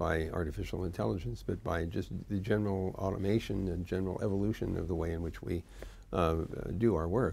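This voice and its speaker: A man with a very deep, low pitch and a dark, mellow tone speaks at a moderate pace with vocal fry and ordinary pitch variation. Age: 70s. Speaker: internet pioneer, tech executive. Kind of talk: interview answer.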